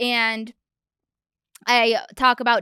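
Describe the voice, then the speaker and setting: Recorded very cleanly against a silent background, a woman's fairly high voice sounds bright and sharp, dry and close with no echo. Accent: Michigan. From Michigan, US. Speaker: podcast host. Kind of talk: solo podcast talk.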